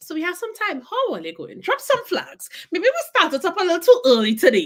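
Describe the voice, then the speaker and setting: Projecting a raised voice, a woman talks at a fairly quick pace with very wide pitch swings. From Trinidad and Tobago. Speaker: podcast host. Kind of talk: live-stream interview. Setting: livestream video call.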